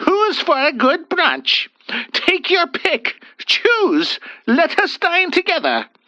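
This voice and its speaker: A put-on character voice from a woman, extremely high-pitched and bellowing, with ordinary pitch variation, very even loudness and a very slow pace. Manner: loud bellow, cheerful.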